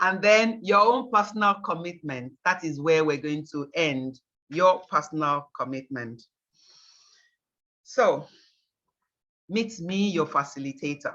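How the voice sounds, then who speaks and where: A woman with fairly low pitch and an animated tone uses lively intonation at a fairly slow pace, leaving long, frequent pauses against a quiet background. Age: 60s. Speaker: organic farmer and workshop facilitator. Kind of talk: presentation to workshop participants. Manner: conversational, animated.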